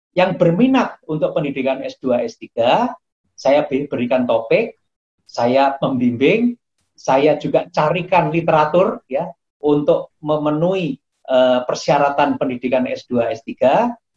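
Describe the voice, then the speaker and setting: A man's somewhat breathy, fairly high voice at a fairly slow pace, with a dry, close sound and no echo. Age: 60s. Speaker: professor and acupuncture doctor. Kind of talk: interview. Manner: halting, with frequent fillers.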